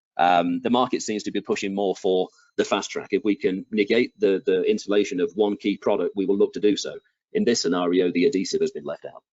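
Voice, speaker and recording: An English accent at a very fast pace. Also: man. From England. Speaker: product manager presenting flooring products. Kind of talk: webinar product presentation. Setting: presenting from home basement.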